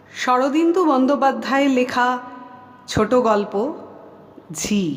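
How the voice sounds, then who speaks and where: Noticeable background noise sits under a woman's high-pitched voice, which shows ordinary pitch variation. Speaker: audiobook narrator. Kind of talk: audiobook short story reading.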